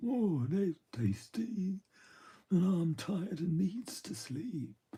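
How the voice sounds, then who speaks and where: A put-on character voice delivers the lines at a very slow pace. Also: man, high pitch for a man. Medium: read story. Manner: slow, homely rustic speech.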